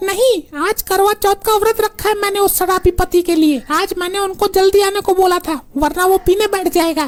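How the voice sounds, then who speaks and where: A woman does a cartoonish character voice at an extremely high pitch. She keeps a moderate pace with hardly any pauses. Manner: loud, scolding.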